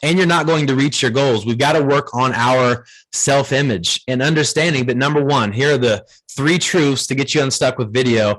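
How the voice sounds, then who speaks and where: An energetic man with an American accent, fairly high pitch, ordinary pitch variation and a moderate pace. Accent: Ohio accent people mistake for Southern. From Ohio. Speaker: video marketing trainer for real estate agents. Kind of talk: training workshop. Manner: energetic, conversational.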